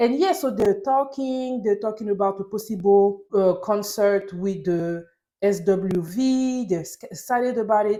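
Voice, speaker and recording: A woman with a French accent, medium in pitch, at a moderate pace and with ordinary pitch variation. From France (Paris). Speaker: TV recap YouTuber. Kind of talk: casual TV recap monologue. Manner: animated.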